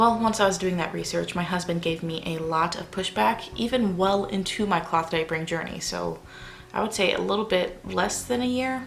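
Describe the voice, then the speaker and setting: A quiet woman at a moderate pace, fairly low in pitch, with ordinary pitch variation. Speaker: parenting vlogger. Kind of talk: casual talk to camera. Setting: at home at night.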